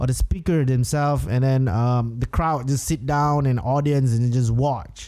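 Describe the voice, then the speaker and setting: A man talks in a fairly high pitch. His tone is dark and mellow. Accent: Singaporean. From Singapore. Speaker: podcast host, entrepreneur. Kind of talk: solo podcast monologue. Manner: casual, filler-heavy with hesitations.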